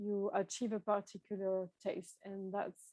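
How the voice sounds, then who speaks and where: Speaking in a French accent, a woman keeps a medium pitch. Her pace is fairly slow. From France. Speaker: tea shop owner and workshop presenter. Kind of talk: online workshop presentation. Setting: video call.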